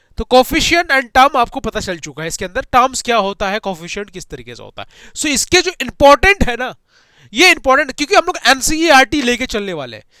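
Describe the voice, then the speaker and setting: A man with an extremely high pitch uses a raised, projected voice with a bright, sharp tone, very wide pitch swings and big swings in loudness, recorded very cleanly over a silent background with a dry, close sound and no echo. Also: moderate pace. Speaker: online maths teacher. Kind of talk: lecture. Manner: animated.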